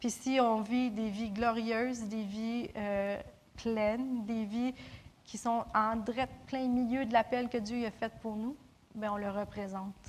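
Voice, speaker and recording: Speaking at a very slow pace with long, frequent pauses, a woman with a fairly high pitch and a somewhat breathy voice keeps a monotone, flat intonation. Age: 30s. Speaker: preacher. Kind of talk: sermon.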